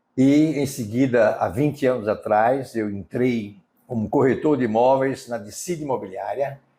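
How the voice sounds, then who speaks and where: This man has a medium pitch and a dark, mellow tone. He talks at a fairly slow pace with ordinary pitch variation. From Brazil, Sergipe (Aracaju). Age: 60s. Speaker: real estate businessman. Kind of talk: interview. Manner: hesitant, with fillers.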